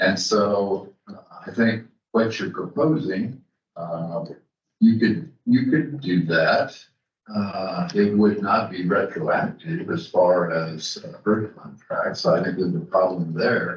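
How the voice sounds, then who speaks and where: A man with a fairly low pitch talks at a very slow pace, his voice somewhat breathy, with very wide pitch swings and big swings in loudness. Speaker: attorney advising a library board. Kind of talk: legal advice at a public board meeting. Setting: public meeting room with microphones. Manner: halting, many fillers.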